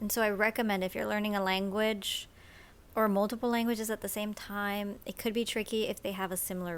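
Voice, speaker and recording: This woman has a Miami accent and a medium pitch. She talks at a fairly quick pace. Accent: Miami American English. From Miami, Cuban-American family. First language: Spanish. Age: 20s. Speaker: YouTuber. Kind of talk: casual vlog. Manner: casual, filler-heavy.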